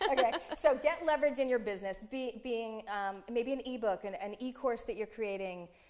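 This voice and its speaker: A woman talks in a fairly high pitch with an animated tone. Noticeable background noise runs behind her. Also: ordinary pitch variation. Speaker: business coach for speakers. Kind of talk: casual chat. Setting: live video show. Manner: fast.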